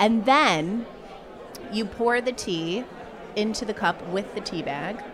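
A woman with an American accent, fairly high-pitched and lively in intonation, very slow with long, frequent pauses, against noticeable background noise. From US Northeast, Massachusetts. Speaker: guest. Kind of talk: casual chat. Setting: pub.

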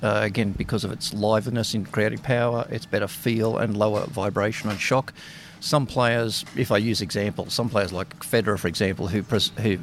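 Speaking with an Australian accent, this man shows ordinary pitch variation. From Australia (Sydney). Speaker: racket stringer. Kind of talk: interview.

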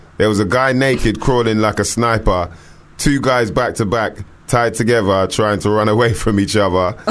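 A man's fairly low voice with fairly even intonation at a moderate pace, over noticeable background noise. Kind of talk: casual chat. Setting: studio.

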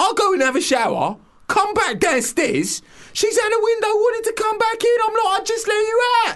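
In a London accent, a man speaks with an extremely high pitch and ordinary pitch variation. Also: moderate pace. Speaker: radio co-host. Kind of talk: casual radio chat. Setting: studio.

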